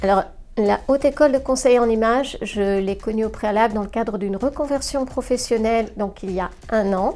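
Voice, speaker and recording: A woman's dark, mellow voice, fairly high in pitch, with ordinary pitch variation and a moderate pace. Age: 60s. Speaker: training student giving a testimonial. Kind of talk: interview testimonial. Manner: hesitant, many fillers.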